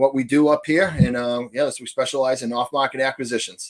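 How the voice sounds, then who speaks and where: A man with a Boston accent talks at a very fast pace with fairly even intonation. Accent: thick Boston. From New Hampshire, US. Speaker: real estate investor. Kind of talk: podcast interview. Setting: podcast. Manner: long-winded.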